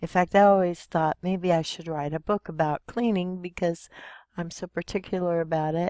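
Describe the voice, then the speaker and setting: A woman's fairly low-pitched voice with a dark, mellow tone, fairly even intonation and a moderate pace, dry and close with no echo, on a very clean recording with a silent background. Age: 60s. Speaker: home vlogger. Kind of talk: casual vlog talk. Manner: halting, many fillers.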